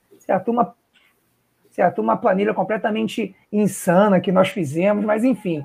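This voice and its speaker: Moderate-paced speech from a man, pitched high, with ordinary variation in pitch. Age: 30s. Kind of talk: casual chat on a live podcast; closing message.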